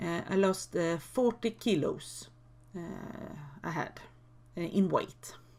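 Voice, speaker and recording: With vocal fry, a woman speaks at a very slow pace, leaving long, frequent pauses. Her pitch is medium, with ordinary pitch variation. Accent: Swedish. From Sweden. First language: Swedish. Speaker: YouTuber. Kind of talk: casual vlog talk. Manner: halting, many fillers.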